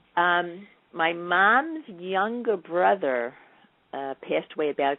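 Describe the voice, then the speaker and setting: With a New York accent, a woman speaks at a fairly low pitch, her voice swinging very widely up and down. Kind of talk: interview.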